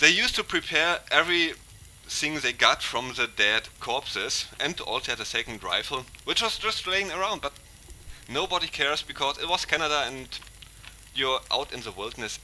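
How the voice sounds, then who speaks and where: Noticeable background noise sits under a man's fairly high voice. His pitch swings very widely. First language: German. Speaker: gaming YouTuber. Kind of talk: fictional story narration over gameplay; casual outro to viewers. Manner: hesitant, with fillers.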